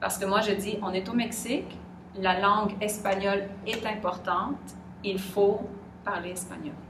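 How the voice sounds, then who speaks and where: Through noticeable background noise and audible room echo, a woman speaks fairly slowly in a monotone, flat way. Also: medium pitch for a woman. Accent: Quebec. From Quebec. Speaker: interviewee. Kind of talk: interview. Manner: hesitant.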